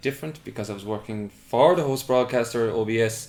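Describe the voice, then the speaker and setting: Here is a man with an Irish accent speaking at a very fast pace. His pitch is medium, with ordinary pitch variation. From Ireland, West Clare. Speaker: TV production worker. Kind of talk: interview. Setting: bedroom interview.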